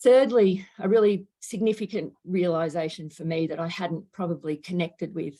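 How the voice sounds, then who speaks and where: A woman with an Australian accent speaks in a fairly low pitch and a dark, mellow tone, using ordinary pitch variation. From Australia, Melbourne. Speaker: climate education researcher. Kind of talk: lecture.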